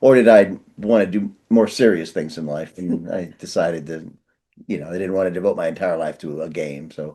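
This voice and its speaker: Speaking at a fairly quick pace with an American accent, a man with a very deep, low pitch and a dark, mellow tone uses ordinary pitch variation and big swings in loudness. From US Midwest, northeastern Ohio. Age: 60s. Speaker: author and writing professor. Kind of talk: interview. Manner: hesitant, many fillers and restarts.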